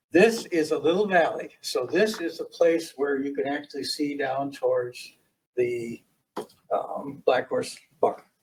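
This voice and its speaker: Somewhat breathy and fairly high-pitched, a man talks at a fairly slow pace with lively intonation. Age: 70s. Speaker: property owner applicant. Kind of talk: presentation at public meeting; answering questions at public meeting. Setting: county planning commission meeting.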